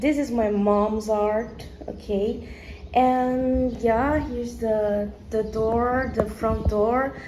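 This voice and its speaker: In a Brazilian accent, the speaker talks at a very slow pace. Noticeable background noise and audible room echo are present. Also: woman, fairly high pitch for a woman, fairly even intonation. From Brazil, São Paulo. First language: Portuguese. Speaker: vlogger. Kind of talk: casual home tour vlog. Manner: hesitant, searching for words.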